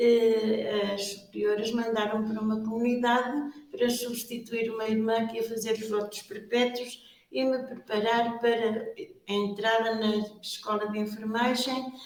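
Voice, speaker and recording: In a European Portuguese accent, a woman talks at a fairly slow pace with a fairly high pitch and monotone, flat intonation, with audible room echo around her. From Portugal, Viseu region. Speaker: superior general of a religious order. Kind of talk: interview. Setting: exhibition room.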